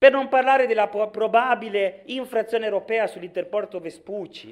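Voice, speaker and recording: Against a quiet background, a man with a high pitch speaks at a moderate pace with ordinary pitch variation. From Sicily, Palermo; Sicily. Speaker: regional politician. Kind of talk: political speech in assembly. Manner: animated, forceful. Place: hall. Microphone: podium.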